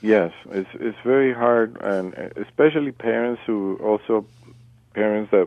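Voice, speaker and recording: This man has a Colombian accent. His pace is fairly slow. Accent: non-native, Colombian Spanish. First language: Spanish. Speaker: parent caller/guest. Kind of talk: radio interview.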